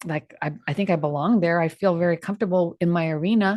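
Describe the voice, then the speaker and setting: Dry and close with no echo, a woman's medium-pitched voice moves at a moderate pace with ordinary pitch variation. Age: 60s. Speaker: trial lawyer, podcast co-host. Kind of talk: live podcast discussion. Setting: studio, live stream.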